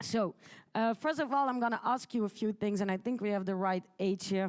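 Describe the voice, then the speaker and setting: On a very clean recording with a silent background, a woman speaks. Her medium pitch shows ordinary variation. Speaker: conference speaker. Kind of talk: conference talk. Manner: fast.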